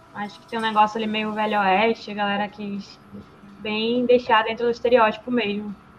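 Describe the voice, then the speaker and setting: Amid noticeable background noise, a woman with a fairly high pitch speaks at a moderate pace in a monotone, flat delivery, her loudness swinging widely. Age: 20s. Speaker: podcast guest, film commentator. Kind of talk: casual chat.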